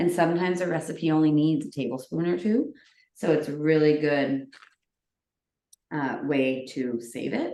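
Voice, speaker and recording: With a very deep, low pitch and a dark, mellow tone, a woman speaks with long, frequent pauses. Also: ordinary pitch variation. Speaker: cooking workshop host. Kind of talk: live cooking demonstration. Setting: home kitchen, recorded video. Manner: fast.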